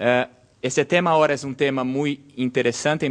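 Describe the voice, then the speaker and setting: A man speaks with a Portuguese accent. His voice is fairly high, and his pace is fairly slow. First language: Portuguese (speaking Spanish). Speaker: law lecturer. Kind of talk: lecture. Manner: halting.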